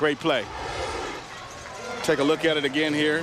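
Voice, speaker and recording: A man talks with a Southern US accent. Noticeable background noise sits behind him. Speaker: color commentator. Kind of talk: live sports commentary.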